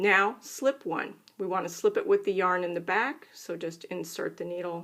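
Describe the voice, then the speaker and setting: A woman talks at a fairly slow pace. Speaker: knitting instructor. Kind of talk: tutorial.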